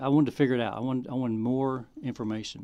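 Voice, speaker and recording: This man talks at a very fast pace with a Southern US accent. His pitch is medium. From Arkansas. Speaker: filmmaker. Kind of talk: testimony.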